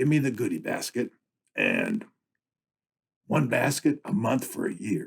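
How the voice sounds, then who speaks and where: Using a raspy, put-on character voice, a man speaks at a medium pitch and moderate pace with very wide pitch swings and long, frequent pauses. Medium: read story. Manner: casual, wisecracking.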